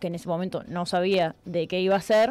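Speaking at a moderate pace, a woman talks with a Uruguayan accent. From Uruguay, La Paloma (Rocha). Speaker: writer and journalist. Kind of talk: interview.

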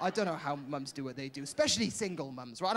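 A man with a Welsh accent at a fairly quick pace. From Wales. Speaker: stand-up comedian. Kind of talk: stand-up. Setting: stage with audience. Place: stage. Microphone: handheld.

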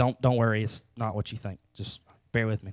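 A man with a Southern US accent against a quiet background. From US South. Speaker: preacher. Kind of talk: sermon. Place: church. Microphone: handheld.

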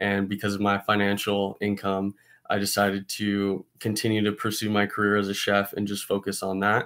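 A man's fairly low voice with a General American accent, monotone, flat intonation and moderate pace, over a quiet background. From Arizona (Scottsdale). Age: 20s. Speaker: college student and chef. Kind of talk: class self-introduction video. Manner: casual with filler words. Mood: calm, reflective. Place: home room. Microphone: webcam.

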